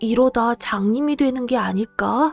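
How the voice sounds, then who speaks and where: Over music in the background, a soft-spoken woman talks at a very slow pace with a gentle tone, the sound dry and close with no echo. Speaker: storybook reader. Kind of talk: bedtime story reading. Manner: soft, gentle.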